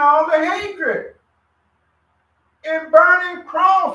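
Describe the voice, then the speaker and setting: Speaking very slowly in a raised, projected voice, a man has an extremely high pitch and a bright, sharp tone. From USA. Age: 70s. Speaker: religious study group member. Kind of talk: religious group discussion.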